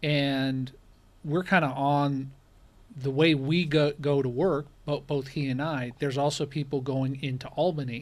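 In a normal speaking voice, a man talks at a moderate pace with a fairly high pitch and fairly even intonation, on a very clean recording with a silent background. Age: 40s. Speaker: rideshare driver and YouTuber. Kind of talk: casual interview chat.

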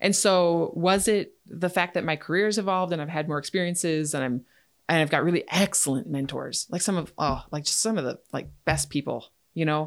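A woman with an Upper Midwest accent at a fairly quick pace and fairly low pitch, with ordinary pitch variation, in a very clean recording with a silent background. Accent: Upper Midwest American. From Wisconsin, Chippewa Valley. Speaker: dentist. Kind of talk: casual chat. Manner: halting.

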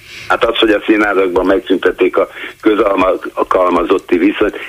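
There is noticeable background noise as this man talks at a moderate tempo. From Budapest (Kőbánya). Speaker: caller. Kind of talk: call-in comment. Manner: halting, repetitive stammering.

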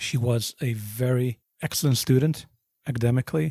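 The man's dark, mellow tone is somewhat breathy, with medium pitch and fairly even intonation. The sound is dry and close, with no echo. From South Africa, Johannesburg. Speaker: bereaved father. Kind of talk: testimony.

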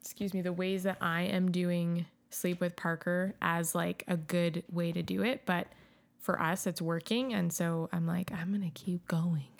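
On a very clean recording with a silent background, a woman with an ordinary speaking voice talks at a moderate pace, her fairly low pitch carrying fairly even intonation. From Calgary, Canada. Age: 30s. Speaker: substitute teacher and new mother. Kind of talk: casual chat.

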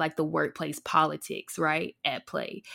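In a very clean recording with a silent background, a woman with a fairly low pitch and vocal fry talks at a moderate pace. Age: 20s. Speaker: podcast co-host. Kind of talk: casual chat.

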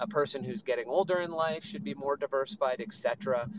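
A man's voice sits at a fairly high pitch. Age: 40s. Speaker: real estate investor and finance coach. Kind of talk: casual panel discussion. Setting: Twitter Spaces live audio room.

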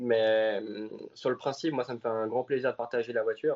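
A man talks at a medium pitch and a fairly quick pace. His intonation stays monotone and flat. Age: 20s. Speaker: racing driver. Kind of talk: interview.

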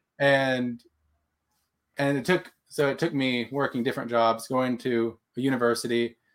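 The delivery has fairly even intonation, very even loudness and a moderate pace. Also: man, medium pitch for a man. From Texas. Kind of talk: interview. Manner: halting.

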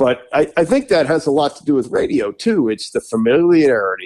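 Speaking with an American accent, a man moves at a fairly quick pace with lively intonation in an unremarkable speaking voice. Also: quiet background. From Washington DC area. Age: 60s. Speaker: sports radio host. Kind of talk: casual chat.

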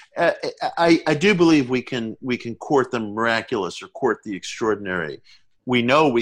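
A man speaks at a moderate pace against a quiet background. He has an ordinary speaking voice with lively intonation. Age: 50s. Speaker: author. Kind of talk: interview. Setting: remote call from home.

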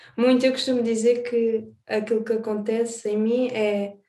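Fairly high in pitch yet dark and mellow in tone, a woman talks in a flat monotone. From Alentejo, Portugal (born in the Azores). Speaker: singer and songwriter. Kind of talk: interview.

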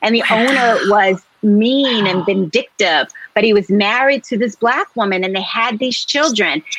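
At a moderate pace and with hardly any pauses, a woman with an American accent and a fairly high pitch uses ordinary pitch variation in an ordinary speaking voice. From US Northeast, Philadelphia. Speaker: novelist. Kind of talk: interview.

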